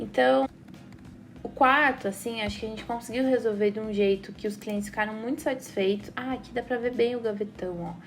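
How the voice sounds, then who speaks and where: Using a normal speaking voice, a woman talks at a fairly quick pace with a fairly high pitch and lively intonation. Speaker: architect / interior designer. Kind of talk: tutorial.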